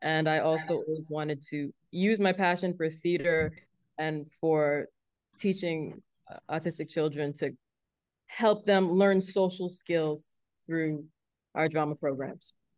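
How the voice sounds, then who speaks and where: With a very deep, low pitch, a woman speaks at a fairly slow pace with fairly even intonation and long, frequent pauses over a quiet background. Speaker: theater founder and director. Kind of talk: podcast interview.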